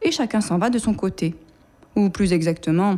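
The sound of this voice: An unforced reading voice with ordinary pitch variation carries the words.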